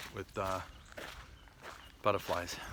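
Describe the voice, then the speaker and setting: At a fairly slow pace, a man speaks against noticeable background noise. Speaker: hiking vlogger. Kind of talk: casual vlog narration while hiking. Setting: outdoors on nature trail. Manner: conversational, many fillers.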